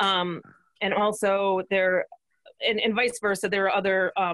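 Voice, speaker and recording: Against a quiet background, a woman talks with fairly even intonation in a dry sound with no echo. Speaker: livestock extension educator. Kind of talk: webinar discussion. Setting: video call. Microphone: video call.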